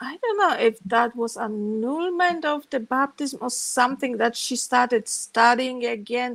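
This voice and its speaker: In a Polish accent, a woman speaks at a fairly slow pace with a high pitch. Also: very clean recording, silent background. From Poland. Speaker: former Jehovah's Witness telling her story. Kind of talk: interview, personal testimony.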